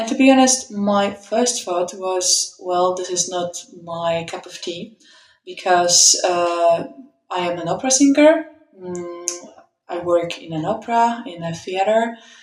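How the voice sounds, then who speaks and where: A woman with a Polish accent at a medium pitch and a fairly slow pace, with ordinary pitch variation and big swings in loudness. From Poland. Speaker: opera singer and metal band vocalist. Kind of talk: interview.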